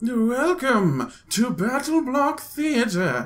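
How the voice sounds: Using a put-on character voice at an extremely high pitch, a man speaks at a very slow pace with lively intonation.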